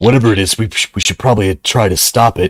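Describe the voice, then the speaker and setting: Someone rattles along at a very fast pace in a put-on character voice. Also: man, fairly low pitch for a man. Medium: actual play.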